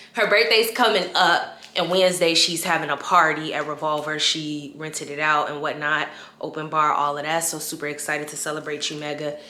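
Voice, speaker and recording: Amid noticeable background noise and audible room echo, a woman talks in a very deep, low pitch with an animated tone. Her pace is fairly quick, with hardly any pauses and big swings in loudness. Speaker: lifestyle vlogger. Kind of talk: casual vlog.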